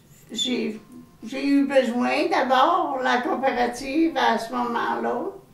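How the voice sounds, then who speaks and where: A woman talks over noticeable background noise, with audible echo in the room. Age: 70s. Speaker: home care client. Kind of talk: interview testimony.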